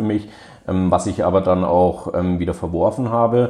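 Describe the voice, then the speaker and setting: A man's very deep, low voice with a dark, mellow tone moves at a moderate pace with monotone, flat intonation. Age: 20s. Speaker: law graduate and research assistant. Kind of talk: interview.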